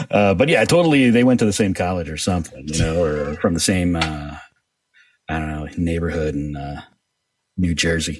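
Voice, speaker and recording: A man talks at a moderate pace in a very deep, low voice. His pitch varies in an ordinary way while music plays behind him. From New York. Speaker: voice actor. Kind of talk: interview answer. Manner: casual.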